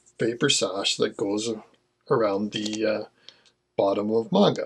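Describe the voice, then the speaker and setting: Speaking with a Canadian accent, a man has a medium-pitched voice. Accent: Americanized Canadian. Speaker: manga collector YouTuber. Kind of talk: casual video talk. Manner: casual, frequent fillers.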